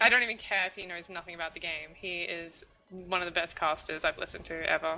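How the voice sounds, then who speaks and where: With music in the background, a woman with a fairly low pitch speaks at a very fast pace. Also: big swings in loudness. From Australia. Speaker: esports shoutcaster. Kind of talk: casual chat. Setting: voice chat. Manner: animated.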